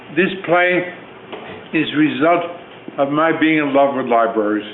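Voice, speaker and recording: Against noticeable background noise, a man with an American accent speaks at a moderate pace and a fairly high pitch. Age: 80s+. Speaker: author and playwright. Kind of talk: speech to theater audience. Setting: theater, live audience. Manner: energetic.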